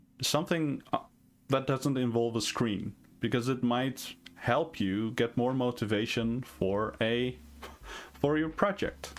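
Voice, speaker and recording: In a Dutch accent, a man speaks at a fairly slow pace with medium pitch, ordinary pitch variation and very even loudness. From Netherlands. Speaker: indie game developer and streamer. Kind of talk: live stream Q&A. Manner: hesitant, many fillers.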